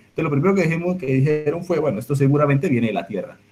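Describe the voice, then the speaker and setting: A somewhat breathy man at a fairly high pitch, with a Colombian accent. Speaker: astrophysics researcher. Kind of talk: public science talk. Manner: hesitant, repeats words.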